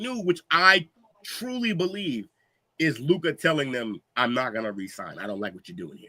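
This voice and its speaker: A man projects a raised voice with a bright, sharp tone, lively intonation and a moderate pace. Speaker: podcast host. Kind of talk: casual chat. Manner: loud; animated.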